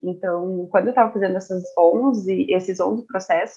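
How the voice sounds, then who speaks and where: A woman talks in an ordinary speaking voice at a moderate pace. Her medium pitch shows ordinary variation. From Brazil, Curitiba. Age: 20s. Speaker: statistician and data analyst. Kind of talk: casual interview.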